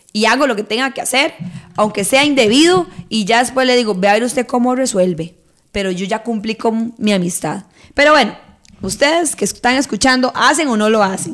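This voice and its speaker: Fairly high-pitched and fairly quick, a woman speaks in an animated tone with lively intonation. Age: 30s. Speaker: podcast host. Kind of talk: casual chat.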